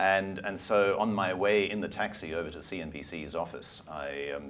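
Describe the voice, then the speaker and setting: The pace is moderate, with ordinary pitch variation. Room echo is audible. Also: man, very deep, low pitch for a man. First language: German. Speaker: media company CEO and former broadcaster. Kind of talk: interview. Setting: studio.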